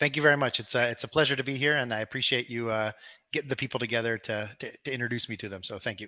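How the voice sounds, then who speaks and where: A man with an American accent speaks at a very fast pace in a bright, sharp tone, his intonation fairly even against a quiet background. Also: medium pitch for a man. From Peru (American family). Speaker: crypto company executive. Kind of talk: interview.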